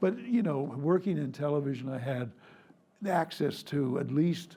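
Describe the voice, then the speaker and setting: A man's somewhat breathy, fairly high voice with a dark, mellow tone and ordinary pitch variation, set against audible room echo. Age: 80s+. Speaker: retired foreign correspondent. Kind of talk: public conversation. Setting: stage with audience.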